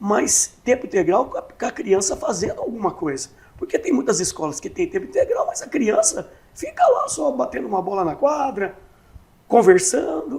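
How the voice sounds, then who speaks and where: A man's speech comes at a moderate pace amid noticeable background noise. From Brazil, Catanduva (São Paulo state). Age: 60s. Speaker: municipal election candidate. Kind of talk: interview.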